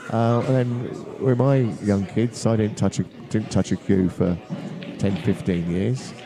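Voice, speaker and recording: Crowd noise sits behind a man who speaks at a fairly slow pace with ordinary pitch variation. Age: 70s. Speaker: guest pool commentator, amateur player. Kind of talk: live commentary and chat. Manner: halting, many fillers.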